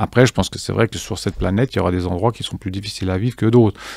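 Against a quiet background, a man with a fairly low pitch speaks in a dry sound with no echo. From Geneva, Switzerland. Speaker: fintech cofounder; guest. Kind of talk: interview. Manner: halting, many fillers and repetitions. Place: studio. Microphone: studio mic.

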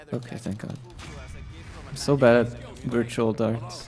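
Music plays behind the voice, which keeps to a moderate pace. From Britain. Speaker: video game streamer. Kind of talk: live gameplay commentary. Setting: livestream. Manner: animated.

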